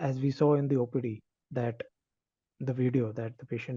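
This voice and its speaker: Against a quiet background, a man at a medium pitch speaks in a dark, mellow tone, somewhat breathy, with fairly even intonation. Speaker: doctor presenting a case. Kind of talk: case presentation. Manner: halting; soft-spoken.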